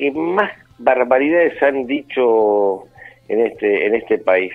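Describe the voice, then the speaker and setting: Using a plain, everyday voice, a man speaks at a medium pitch with lively intonation. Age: 60s. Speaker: filmmaker. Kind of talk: interview.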